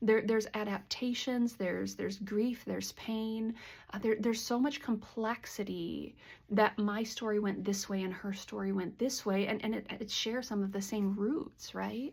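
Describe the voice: Her voice has a slightly mellow tone, a medium pitch and vocal fry. The woman talks at a fairly slow pace with fairly even intonation.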